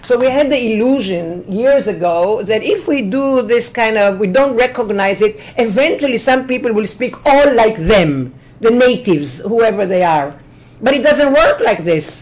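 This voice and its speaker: A woman's fairly high voice in an Israeli accent, lively in intonation and very even in loudness, at a moderate pace, with audible room echo and noticeable background noise. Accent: Hebrew-accented English. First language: Hebrew. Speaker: professor. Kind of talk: lecture. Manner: energetic.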